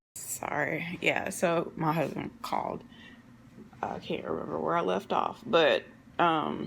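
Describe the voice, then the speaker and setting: Noticeable background noise surrounds a woman who talks very slowly. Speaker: lifestyle vlogger with lupus. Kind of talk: casual vlog talk. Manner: halting, many fillers.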